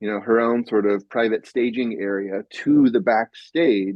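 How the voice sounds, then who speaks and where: A man with an American accent at a moderate pace, medium-pitched, with ordinary pitch variation. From California. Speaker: author. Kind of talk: casual chat. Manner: halting, many fillers.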